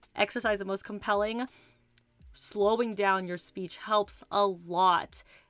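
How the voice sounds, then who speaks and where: With music in the background, a woman speaks at a medium pitch and a fairly slow pace in a monotone, flat way. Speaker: livestreamer. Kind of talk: casual chat.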